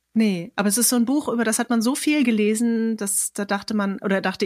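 Her medium-pitched voice races along at a very fast pace as this woman speaks. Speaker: poet and podcast host. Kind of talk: casual interview with quiz. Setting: online recording.

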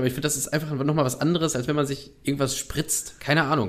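This is a man with a fairly high pitch. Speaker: podcast co-host. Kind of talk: casual chat. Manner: animated.

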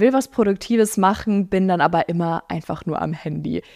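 An animated tone and lively intonation come at a moderate pace, with a dry, close sound with no echo and a very clean recording against a silent background. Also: woman. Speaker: podcast host and social media creator. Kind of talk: casual solo chat answering listener questions.

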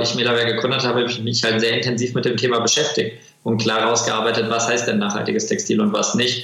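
A man of medium pitch is heard with noticeable background noise and audible room echo. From Germany, Kassel. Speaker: textile company founder. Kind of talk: interview. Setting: video call.

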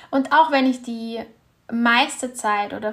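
A woman's calm, soothing voice, fairly high in pitch, with fairly even intonation and a very slow pace. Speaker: meditation guide and women's health coach. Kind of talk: guided meditation. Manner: calm, slow, soothing, gentle; warm, intimate, encouraging.

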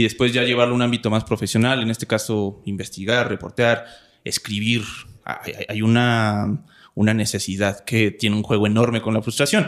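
On a very clean recording with a silent background, a man with a Mexican accent speaks at medium pitch and a moderate pace in monotone, flat intonation. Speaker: podcast host. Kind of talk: casual interview.

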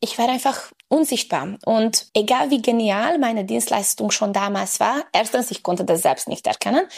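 On a very clean recording with a silent background, a woman uses a fairly high voice with vocal fry and lively intonation. She keeps a moderate pace and hardly pauses. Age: 30s. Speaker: women's health and fitness coach. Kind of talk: interview.

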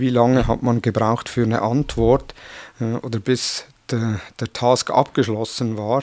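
A man with a Swiss German accent speaks at a medium pitch and a fairly slow pace, in a monotone with flat intonation. He pauses long and often, and the very clean recording has a silent background. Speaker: podcast host. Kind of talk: interview.

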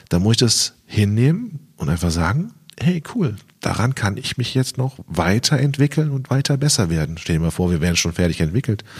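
Very wide pitch swings from a man at medium pitch and a moderate pace. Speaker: magician and YouTube video consultant. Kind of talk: interview. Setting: podcast. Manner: loud.

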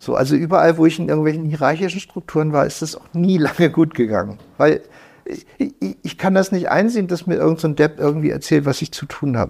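A man talks at a very fast pace with vocal fry. His fairly high pitch shows ordinary pitch variation. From northern Germany, Lüneburg Heath. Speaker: computer hacker. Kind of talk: interview. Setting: in person, indoor room. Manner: animated.

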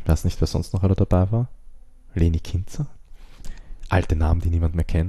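Very deep and low, a man's voice has a dark, mellow and somewhat breathy tone. He talks at a fairly quick pace with long, frequent pauses. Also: ordinary pitch variation. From Austria. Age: 20s. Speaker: screenwriter and director. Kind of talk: interview.

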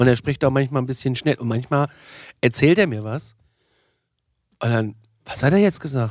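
At a moderate pace and a medium pitch, a man speaks with ordinary pitch variation and long, frequent pauses. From Germany, northern Hesse. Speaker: podcast host. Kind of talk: casual chat. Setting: studio.

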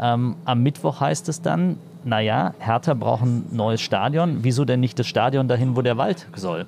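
This man talks at a very slow pace in a medium pitch, his voice making very wide pitch swings. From Berlin (East, Marzahn-Hellersdorf). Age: 30s. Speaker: politician. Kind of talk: interview. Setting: on a train. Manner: halting, many fillers.

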